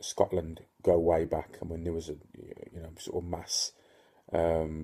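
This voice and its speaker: A man speaks at a fairly slow pace with a very deep, low pitch. His tone is dark and mellow, and somewhat breathy. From Northern Ireland (Ulster). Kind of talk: casual talk to camera. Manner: hesitant, many fillers.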